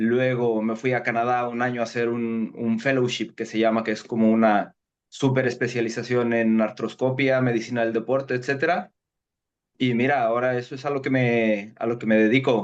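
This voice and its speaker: A moderate pace, monotone, flat intonation, and a slight Mexican accent, set against a quiet background. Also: man, medium pitch for a man. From Mexico. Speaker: sports medicine doctor. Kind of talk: interview.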